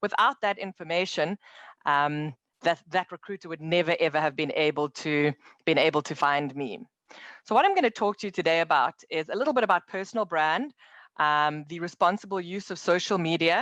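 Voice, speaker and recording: A woman speaks with a South African accent at a fairly low pitch. Her pitch variation is ordinary, and the background is quiet. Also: fairly quick pace, dry, close sound with no echo. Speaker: tech company account manager. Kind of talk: online presentation.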